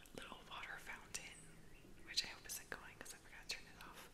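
Noticeable background noise runs underneath a woman's speech. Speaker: ASMR creator and painter. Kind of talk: ASMR whispering, casual talk to camera. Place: home room. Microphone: studio mic.

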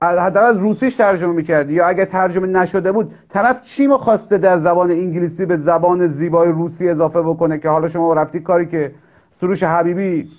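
A man talks at a very fast pace in a high pitch, his loudness very even. His pitch varies in an ordinary way against a quiet background. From Iran, Mashhad (Khorasan); Iran. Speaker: talk show host, translator; talk show host. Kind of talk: casual interview. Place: home room. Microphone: video call.

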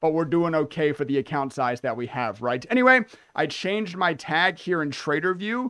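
Against a quiet background, a man speaks in a bright, sharp tone with very wide pitch swings. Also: moderate pace. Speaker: day trader streamer. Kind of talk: casual commentary walkthrough. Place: home room.

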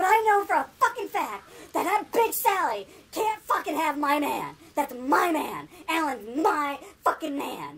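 A put-on character voice, female-sounding, at a moderate pace. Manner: angry, catty, profane.

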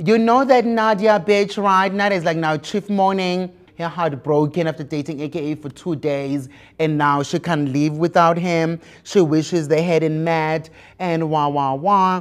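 A man with a high pitch speaks at a fairly slow pace. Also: ordinary pitch variation, quiet background. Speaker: show host. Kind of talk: gossip commentary. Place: studio. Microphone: lapel.

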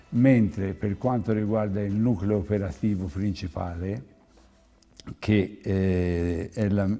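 Speaking at a fairly slow pace, a man with a fairly low pitch has a dark, mellow tone. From Tuscany, province of Florence. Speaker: clothing company owner; guest. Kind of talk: TV interview. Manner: halting. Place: studio. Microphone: lapel.

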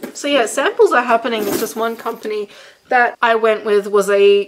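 A woman talks fairly quickly in a fairly high voice. Noticeable background noise runs behind her. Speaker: YouTuber and handbag designer. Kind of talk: casual chat. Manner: animated.

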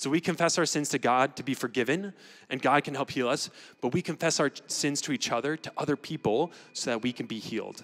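A quiet background frames a man talking at a fairly quick pace. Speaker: student pastor. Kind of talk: announcements and sermon-style address. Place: stage. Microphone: handheld.

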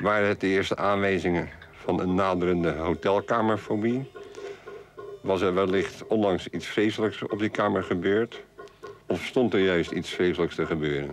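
With a Rotterdam accent, a man speaks at a moderate pace in a very deep, low pitch, his intonation fairly even. His loudness stays very even over music in the background. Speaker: travel story writer. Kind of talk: reading own prose story.

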